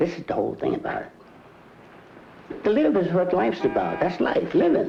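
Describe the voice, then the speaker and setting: Someone talks at a moderate pace with music playing in the background. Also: man. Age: 80s+. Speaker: shopkeeper. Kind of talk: interview. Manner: animated.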